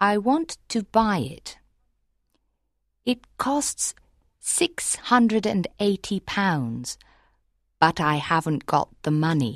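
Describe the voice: In a put-on character voice pitched high for a man, he talks at a slow pace with lively intonation and long, frequent pauses, recorded very cleanly against a silent background with a dry, close sound and no echo.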